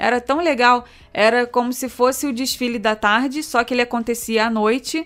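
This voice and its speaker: A woman with a normal speaking voice speaks at a moderate pace, her pitch fairly high and her intonation fairly even. The recording is very clean, with a silent background. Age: 30s. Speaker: podcast co-host, travel business owner. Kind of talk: casual chat.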